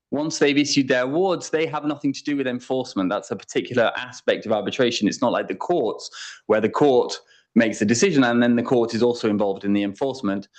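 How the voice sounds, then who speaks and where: A man with an English accent talks at a very fast pace against a quiet background. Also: medium pitch for a man, ordinary pitch variation. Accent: English accent, remarked on as own. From England. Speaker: international arbitration lawyer. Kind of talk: conference talk.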